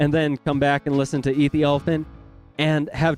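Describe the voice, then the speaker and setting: A man speaks with music in the background. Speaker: music reviewer. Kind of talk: album review to camera.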